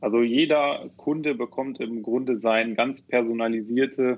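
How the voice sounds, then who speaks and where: A man with a medium pitch talks at a moderate pace, keeping his intonation fairly even. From Rhineland, Germany (Neuss near Düsseldorf). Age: 30s. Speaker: software developer and founder. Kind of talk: podcast interview. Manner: hesitant, many fillers.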